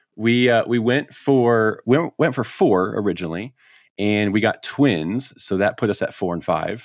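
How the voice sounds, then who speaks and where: A man with an American accent speaks at a fairly slow pace in an unremarkable speaking voice, his medium pitch showing ordinary variation against a quiet background. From US Midwest (Chicago). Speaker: hunting podcaster and bird dog trainer. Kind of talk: casual interview.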